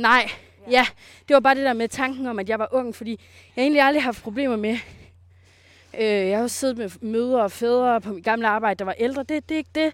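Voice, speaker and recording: On a very clean recording with a silent background, a woman talks at a fairly quick pace with long, frequent pauses, a high pitch and ordinary pitch variation. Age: 20s. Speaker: self-employed coach. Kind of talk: casual interview. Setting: outdoors on a walk.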